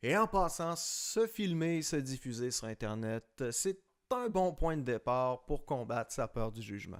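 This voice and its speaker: A man speaks with a Quebec accent at a medium pitch. His pace is fairly slow, with very wide pitch swings. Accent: Québécois French. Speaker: designer and YouTuber. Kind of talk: personal vlog monologue. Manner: hesitant, many fillers.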